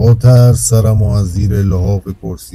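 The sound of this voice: Reading in an unforced reading voice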